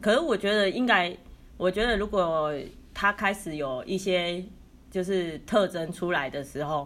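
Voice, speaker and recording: A woman with a plain, everyday voice speaks at a fairly slow pace, her medium pitch showing lively intonation on a very clean recording with a silent background. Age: 30s. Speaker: podcast co-host. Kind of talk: casual chat.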